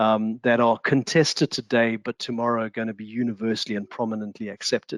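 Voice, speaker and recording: A man with a South African accent speaks at medium pitch and a moderate pace, in a dry, close sound with no echo. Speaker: discussion panelist. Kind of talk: online panel discussion. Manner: halting, many fillers and repetitions.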